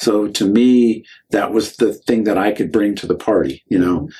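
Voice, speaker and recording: A man with an unremarkable speaking voice at a moderate pace. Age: 60s. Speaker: county party chairman. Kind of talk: podcast interview.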